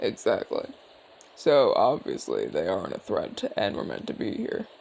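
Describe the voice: A man puts on a character voice at a fairly low pitch with very wide pitch swings. His tone is slightly mellow, with vocal fry. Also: moderate pace.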